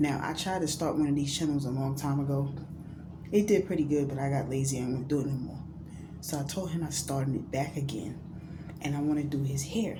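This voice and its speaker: Fairly quick whispering from a woman, with audible room echo. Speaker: YouTuber. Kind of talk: vlog talk to camera. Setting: bathroom.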